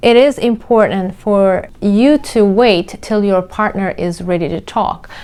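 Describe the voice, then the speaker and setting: A woman with a Turkish accent speaks in a dark, mellow tone. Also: medium pitch for a woman, ordinary pitch variation, fairly slow pace, hardly any pauses. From Turkey. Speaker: mindset coach. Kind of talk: casual commentary on a reality show.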